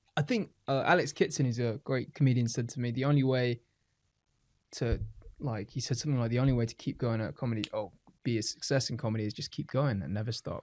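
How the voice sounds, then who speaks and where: A man with a British accent, medium pitch and ordinary pitch variation, talking at a very fast pace on a very clean recording with a silent background. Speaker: stand-up comedian. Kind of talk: casual chat.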